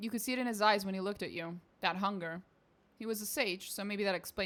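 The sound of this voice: Reading delivered in an unforced voice.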